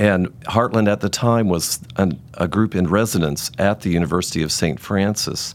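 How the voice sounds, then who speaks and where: Using an unremarkable speaking voice with an American accent, a man talks at a moderate pace with hardly any pauses, a fairly low pitch, ordinary pitch variation and very even loudness. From US South, Virginia. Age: 60s. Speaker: choral conductor. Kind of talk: casual chat. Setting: studio.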